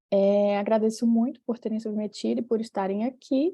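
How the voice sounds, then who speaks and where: Speaking in a Fortaleza accent, a woman keeps a moderate pace. Her pitch sits fairly high. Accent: Northeast Brazilian (Fortaleza). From Brazil, Fortaleza (Ceará). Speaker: professor, session chair. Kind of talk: conference session moderation.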